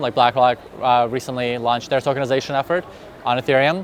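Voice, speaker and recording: Amid noticeable background noise, a man rattles along at a very fast pace. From Russia. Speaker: crypto industry specialist. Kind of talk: conference interview. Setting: crypto conference in Dubai.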